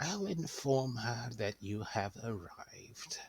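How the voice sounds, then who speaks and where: A man speaks at a medium pitch. He is doing a put-on character voice. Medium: actual play. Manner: fussy, doting.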